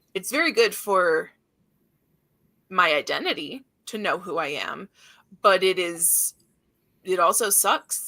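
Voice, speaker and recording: A woman speaks loudly at medium pitch on a very clean recording with a silent background. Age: 30s. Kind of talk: casual chat.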